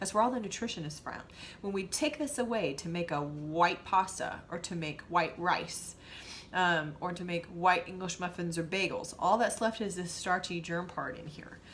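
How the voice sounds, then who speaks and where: A woman speaks at a fairly low pitch with ordinary pitch variation. Her loudness swings widely. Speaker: nutrition coach. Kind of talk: tutorial. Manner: fast.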